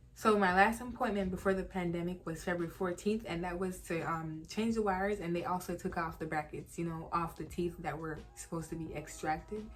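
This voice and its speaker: Music plays in the background as a woman speaks with hardly any pauses. Her pitch is fairly low and her intonation fairly even. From Jamaica. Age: 20s. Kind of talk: casual talk to camera.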